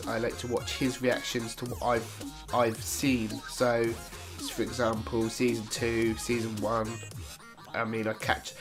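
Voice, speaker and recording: Over music in the background, a man with a British accent talks at a moderate pace in a medium pitch. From Britain. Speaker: YouTube reactor. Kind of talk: casual Q&A talk to camera.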